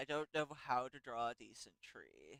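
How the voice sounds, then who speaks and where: A man speaks at a fairly slow pace with a fairly high pitch and a bright, sharp tone. The sound is dry and close, with no echo. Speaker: streamer drawing a fan comic. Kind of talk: casual live-stream commentary while drawing. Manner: halting, stammering; rambling, tangential.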